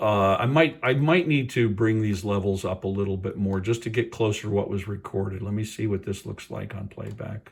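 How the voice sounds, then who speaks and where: Somewhat breathy, a man talks at a fairly quick pace with hardly any pauses, using a fairly low pitch and ordinary pitch variation. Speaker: tech product reviewer. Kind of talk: tutorial. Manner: casual, hesitant with fillers.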